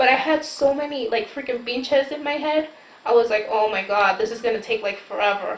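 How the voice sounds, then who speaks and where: Noticeable background noise sits behind fairly quick speech with ordinary pitch variation. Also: woman, high pitch for a woman. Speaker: vlogger discussing her plastic surgery. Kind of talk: casual chat. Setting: late night chat with sister at home. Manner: casual, filler-heavy.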